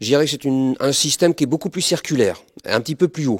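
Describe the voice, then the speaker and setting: Very clean recording of a man, silent background, the sound dry and close with no echo. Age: 60s. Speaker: martial arts instructor. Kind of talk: interview. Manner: hesitant with fillers.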